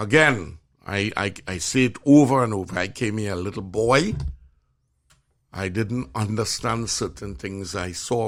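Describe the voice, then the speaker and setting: With a Trinidadian accent, a man speaks at a fairly low pitch and a fairly slow pace, his pitch varying in an ordinary way. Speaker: physician and show host. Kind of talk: casual chat. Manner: animated.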